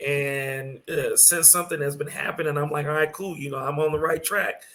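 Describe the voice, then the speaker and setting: Ordinary pitch variation from a male speaker with a fairly high voice. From San Antonio, Texas (born in Brooklyn). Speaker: DJ. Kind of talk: interview. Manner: halting, many fillers.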